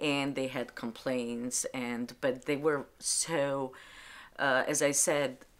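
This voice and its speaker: Speaking at a very slow pace, a woman uses a very deep, low voice in a monotone, flat intonation, recorded very cleanly against a silent background. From Albania. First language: Albanian. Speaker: librarian. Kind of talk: interview testimony. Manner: halting.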